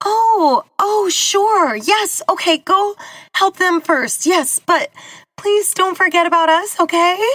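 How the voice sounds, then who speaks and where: A put-on character voice, female-sounding and shrill, with an extremely high pitch for a woman and a fairly slow pace. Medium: read story. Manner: flustered, anxious.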